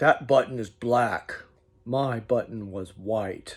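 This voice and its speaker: Using a put-on character voice, a man speaks raspy and very slowly at a medium pitch. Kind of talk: bedtime story. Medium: read story.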